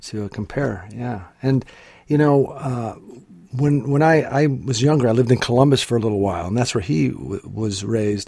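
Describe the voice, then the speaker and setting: At a moderate pace, a man speaks at medium pitch in a dark, mellow, somewhat breathy voice. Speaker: podcast host. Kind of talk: casual interview.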